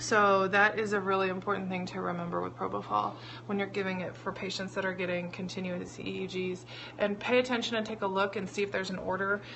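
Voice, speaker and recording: Audible room echo follows a woman who talks at a very fast pace. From US Midwest, central Illinois. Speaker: nurse educator. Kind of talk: tutorial. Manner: casual.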